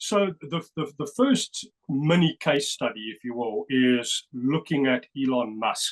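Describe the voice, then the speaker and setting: A man with a South African accent, fairly high pitch, lively intonation and big swings in loudness, in a dry, close sound with no echo. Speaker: numerology researcher. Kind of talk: interview presentation. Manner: animated.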